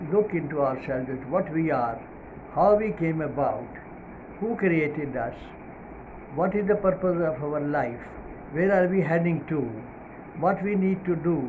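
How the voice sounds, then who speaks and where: Amid noticeable background noise and audible room echo, a man speaks at a fairly slow pace and a fairly high pitch with ordinary pitch variation. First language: not English. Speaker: Islamic preacher. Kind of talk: religious talk. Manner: hesitant, many fillers.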